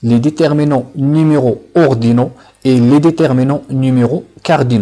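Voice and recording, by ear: With a dark, mellow tone, a man talks at a moderate pace and medium pitch, keeping his intonation fairly even.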